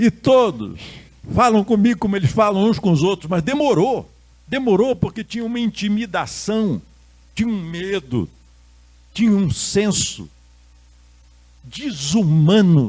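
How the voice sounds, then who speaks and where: A man with a high pitch and lively intonation, at a fairly slow pace, with long, frequent pauses. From Rio de Janeiro, Brazil. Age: 70s. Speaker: Buddhist monk and lecturer. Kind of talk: lecture. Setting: stage with audience.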